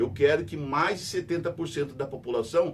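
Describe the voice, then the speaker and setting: The pace is moderate. Pitch moves in an ordinary way. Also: man. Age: 60s. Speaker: radio host and news commentator. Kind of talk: news commentary monologue. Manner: conversational, repetitive emphatic.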